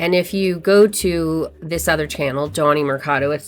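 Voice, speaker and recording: Amid noticeable background noise, a woman talks at a fairly low pitch with ordinary pitch variation. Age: 60s. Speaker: YouTube creator and actor. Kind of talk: tutorial. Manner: casual, chatty.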